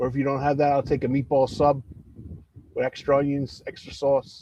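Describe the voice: A man's fairly high, dark and mellow voice, fairly quick and monotone with flat intonation, in a Philadelphia accent.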